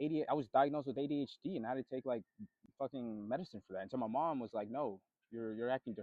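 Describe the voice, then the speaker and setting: Very fast speech comes from a man whose pitch varies in an ordinary way. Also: medium pitch for a man. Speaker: vlogger. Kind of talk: casual monologue vlog.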